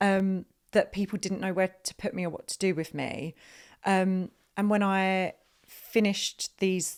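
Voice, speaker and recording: At a moderate pace, a woman with an Essex accent speaks at medium pitch in a very clean recording with a silent background. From Essex, England. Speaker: theatre director. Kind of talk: podcast interview.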